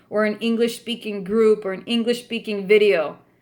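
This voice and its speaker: A woman speaks with an American accent at a fairly high pitch. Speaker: spiritual practice YouTuber. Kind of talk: vlog monologue. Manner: stern, adamant.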